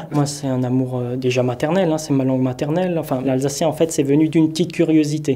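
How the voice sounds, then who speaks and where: Speaking at a very fast pace, a man has a fairly high pitch and a dark, mellow tone. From Alsace, France. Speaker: Alsatian language advocate and amateur actor. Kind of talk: interview monologue.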